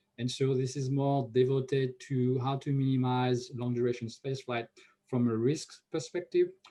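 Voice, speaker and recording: The voice has a dark, mellow tone and is somewhat breathy, with a French accent. It moves at a moderate pace. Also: man, medium pitch for a man. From France. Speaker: NASA research scientist. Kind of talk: conference Q&A answer. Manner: frequent hesitations with uh.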